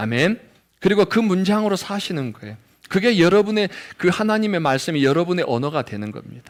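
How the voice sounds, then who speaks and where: At a fairly quick pace, a man speaks with a high pitch, very wide pitch swings and big swings in loudness. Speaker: pastor. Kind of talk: sermon. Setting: church. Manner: occasional pronunciation slips.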